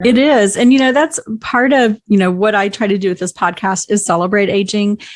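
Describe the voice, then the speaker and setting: A woman speaks in a normal speaking voice at a medium pitch with ordinary pitch variation and a fairly quick pace. The sound is dry and close, with no echo. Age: 50s. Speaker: podcast host on senior living. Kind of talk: casual interview chat. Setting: podcast recording.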